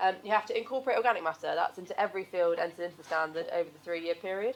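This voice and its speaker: A woman talks at a very fast pace. Her pitch sits at a medium level. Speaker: environmental consultant. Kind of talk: seminar presentation. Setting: stage with audience.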